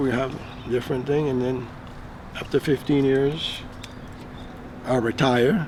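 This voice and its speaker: Noticeable noise fills the background. Through it, a man speaks at a moderate speed. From Belize. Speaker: retired business owner. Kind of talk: casual talk to camera.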